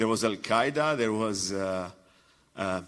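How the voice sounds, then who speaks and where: A man talks at a moderate pace. He speaks with an Iraqi accent. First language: Arabic. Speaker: comedian and journalist. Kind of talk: conference talk. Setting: stage with audience. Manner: halting.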